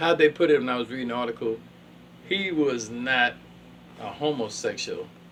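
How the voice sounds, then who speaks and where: Noticeable background noise accompanies a man of medium pitch who speaks at a moderate pace with ordinary pitch variation and long, frequent pauses. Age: 70s. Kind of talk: casual chat. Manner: animated.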